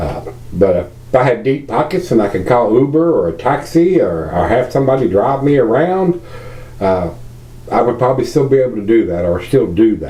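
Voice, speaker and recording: A man with a Virginia accent talks at a moderate pace, his medium pitch making very wide swings. Noticeable background noise and audible room echo fill the recording. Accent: Southern US, Virginia. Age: 60s. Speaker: beer reviewer. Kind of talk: casual video review monologue. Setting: at home. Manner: halting, many fillers.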